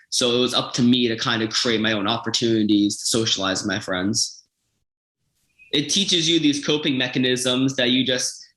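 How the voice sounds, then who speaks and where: A man speaks with an American accent in a bright, sharp tone. His pitch rises and falls in an ordinary way. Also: medium pitch for a man, moderate pace. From Florida. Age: 20s. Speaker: patient with a rare metabolic disorder. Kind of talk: personal testimony interview. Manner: halting, with fillers and restarts.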